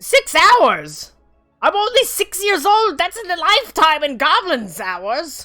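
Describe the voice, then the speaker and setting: In a put-on character voice with extremely high pitch, the speaker goes at a fairly slow pace while faint music plays in the background. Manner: excited, indignant.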